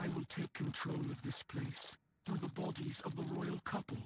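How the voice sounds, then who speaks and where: A man performs in a put-on character voice. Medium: video game. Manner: calm, measured, solemn.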